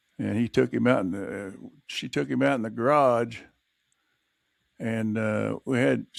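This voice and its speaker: Long, frequent pauses mark a man's fairly low voice. His pitch swings very widely. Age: 70s. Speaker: podcast host. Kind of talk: casual chat.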